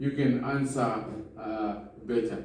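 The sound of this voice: A man's medium-pitched, slightly mellow voice with fairly even intonation, in strong room echo.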